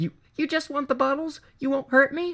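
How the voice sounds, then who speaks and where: Pitched high, a put-on character voice moves along at a moderate pace. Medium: read story. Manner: nervous, stammering.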